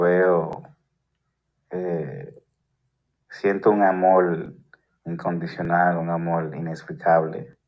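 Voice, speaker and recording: A man with a very deep, low pitch and fairly even intonation at a very slow pace, with long, frequent pauses and audible room echo. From Dominican Republic, Santo Domingo. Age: 40s. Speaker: father sending voice message. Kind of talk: voice message testimony. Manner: halting.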